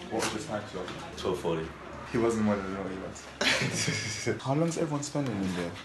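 Loud background noise sits behind a man speaking. His pitch is fairly low and his pace moderate. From London. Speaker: professional boxer vlogger. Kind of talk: casual vlog narration.

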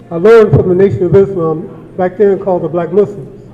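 A high-pitched man's voice with an American accent at a fairly quick pace, amid noticeable background noise and audible room echo. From Watts, Los Angeles, California. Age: 60s. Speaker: community member, activist. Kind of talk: public comment at town hall. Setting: community town hall meeting.

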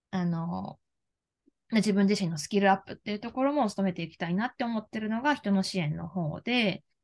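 A woman talks fairly quickly at medium pitch, somewhat breathy. Her loudness swings widely while her pitch varies in an ordinary way. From Japan, Kagawa (Shodoshima island); Japan. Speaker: life career coach; career coach interviewee. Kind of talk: interview. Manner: hesitant, many fillers. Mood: earnest, warm. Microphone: video call.

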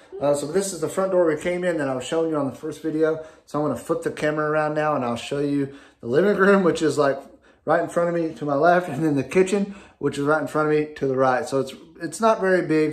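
The man talks at a fast pace in a fairly high pitch, with ordinary pitch variation.

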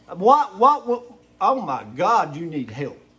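The speaker has an American accent and a very slow pace. The pitch swings very widely. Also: man. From Eastern Kentucky (Hazard). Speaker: video blogger. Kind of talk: angry rant to camera. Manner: animated. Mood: indignant, angry. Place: home room. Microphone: phone near.

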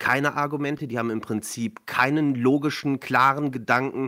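A man's bright, sharp voice at a moderate pace over a quiet background. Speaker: remote podcast guest. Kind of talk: interview answer.

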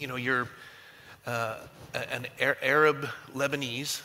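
His intonation stays fairly even as the man talks. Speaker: pastor. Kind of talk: panel discussion. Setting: stage with audience. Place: church.

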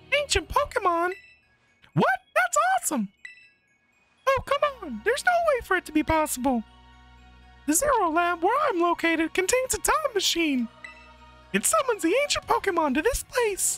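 Putting on a squeaky character voice, a man pitches extremely high with very wide pitch swings. He leaves long, frequent pauses while faint music plays in the background. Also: moderate pace. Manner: excited, exclaiming.

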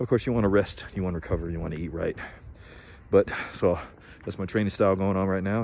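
Dry sound with no echo and light background noise, a man talking at a fairly quick pace with fairly even intonation. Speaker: fitness vlogger. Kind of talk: casual vlog chat. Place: street. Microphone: phone near.

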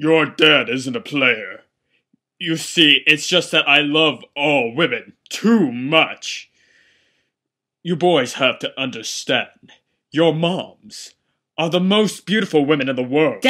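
Over a very clean recording with a silent background, a man with a fairly high pitch speaks fairly slowly in a pompous, stern tone. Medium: fan dub. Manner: pompous, lecturing, then stern.

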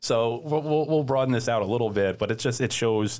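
This man speaks at a very fast pace, his pitch varying in an ordinary way. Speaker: horse racing journalist and podcast host. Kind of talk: casual panel discussion. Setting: studio. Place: studio. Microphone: studio mic.

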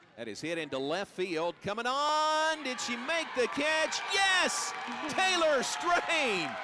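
A man speaks in a raised, projected voice at an extremely high pitch, with very wide pitch swings. His pace is very slow, and there is noticeable background noise. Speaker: sports commentator. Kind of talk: live play-by-play sports commentary in a highlight reel. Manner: emphatic on strikeouts and home runs.

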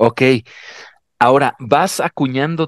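Fairly slowly, a man talks with a Mexican accent. The sound is dry with no echo against a quiet background. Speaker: podcast host. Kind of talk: interview. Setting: video call. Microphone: headset.

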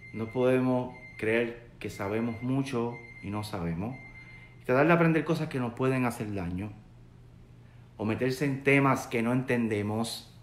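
A man at a medium pitch with ordinary pitch variation, speaking fairly slowly with long, frequent pauses, amid light background noise and audible room echo. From Puerto Rico. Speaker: religious teacher. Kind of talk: sermon. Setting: live video stream, online. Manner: conversational, searching for words. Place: office. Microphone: webcam.

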